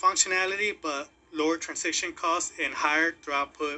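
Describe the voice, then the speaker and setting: A man with a non-native accent and a high pitch speaks at a moderate pace with ordinary pitch variation. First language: not English. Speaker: crypto YouTuber. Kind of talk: casual commentary video. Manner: halting, repeats words.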